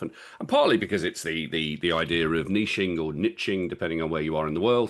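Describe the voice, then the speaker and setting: A man talks at a fairly quick pace in a strong Birmingham accent. The background is quiet. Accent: Birmingham (Brummie), strong. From England, Birmingham. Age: 50s. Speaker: public speaking coach and men's mental health speaker. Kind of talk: podcast interview. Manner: halting, many repetitions.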